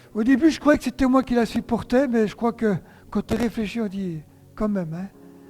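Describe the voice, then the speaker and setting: Over music in the background, a man with a high pitch and ordinary variation speaks at a moderate pace. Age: 60s. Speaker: pastor. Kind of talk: sermon.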